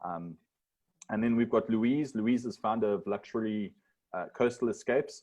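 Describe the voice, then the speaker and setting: Against a quiet background, a man with a normal speaking voice talks at a fairly quick pace. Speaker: webinar moderator. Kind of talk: panel introductions.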